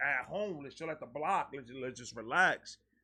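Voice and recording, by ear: A man speaks in a bright, sharp tone with a slightly husky edge.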